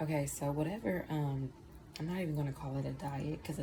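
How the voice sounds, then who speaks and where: With audible room echo and noticeable background noise, a woman speaks at a moderate pace. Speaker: tarot reader. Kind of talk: tarot reading. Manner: casual, profane.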